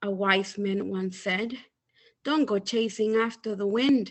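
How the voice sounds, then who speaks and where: Speaking at a fairly slow pace, a woman has an unremarkable speaking voice, a fairly high pitch, and ordinary pitch variation. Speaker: poet reading own poems. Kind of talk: poetry reading.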